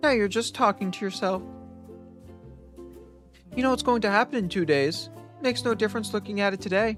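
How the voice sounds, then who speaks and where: Over music in the background, a squeaky, put-on character voice with a fairly high pitch moves at a fairly quick pace broken by long, frequent pauses. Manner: cartoon mouse voice.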